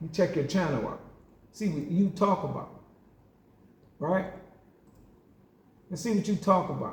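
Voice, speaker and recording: A man with a Southern US accent speaks in a high voice at a moderate pace, with an animated tone and ordinary pitch variation. His speech has long, frequent pauses. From US South. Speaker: boxing game YouTuber. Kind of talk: heated rant response video.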